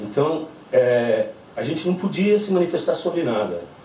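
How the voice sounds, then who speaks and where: This is a man talking. Noticeable background noise and audible room echo come through. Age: 60s. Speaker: witness of the military dictatorship. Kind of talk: testimony. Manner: halting, with fillers.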